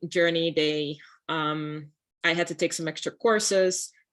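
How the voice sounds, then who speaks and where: A woman with a Dutch accent against a quiet background. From Netherlands. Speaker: architect. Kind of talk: panel talk.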